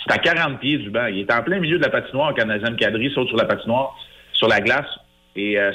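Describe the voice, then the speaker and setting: A man with a normal speaking voice and medium pitch talks at a fairly quick pace, with ordinary pitch variation. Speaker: hockey analyst. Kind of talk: radio interview.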